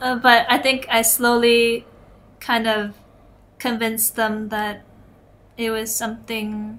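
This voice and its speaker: Using a Canadian accent, a woman with a fairly high pitch speaks at a very slow pace in monotone, flat intonation, with long, frequent pauses. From Canada, Toronto. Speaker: illustrator. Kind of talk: interview.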